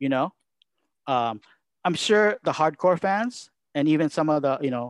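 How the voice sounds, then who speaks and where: A man with a Japanese accent, dry and close with no echo, over a quiet background. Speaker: wrestling commentator. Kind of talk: casual interview.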